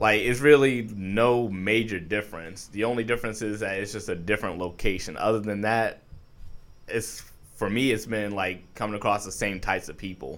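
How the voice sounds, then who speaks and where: An unremarkable speaking voice with an American accent comes at a moderate pace. The intonation stays fairly even. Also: man, fairly low pitch for a man. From New York. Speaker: artist. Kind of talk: casual chat.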